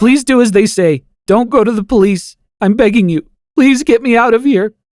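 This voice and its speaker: Using a put-on character voice, a man talks at a moderate pace in an extremely high pitch. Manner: begging, frightened.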